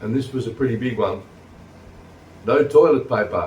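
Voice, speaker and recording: This voice has an Australian accent and a somewhat breathy quality. It moves at a fairly slow pace with fairly even intonation. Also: man. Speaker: vlogger. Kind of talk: casual vlog talk. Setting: sitting on couch at home.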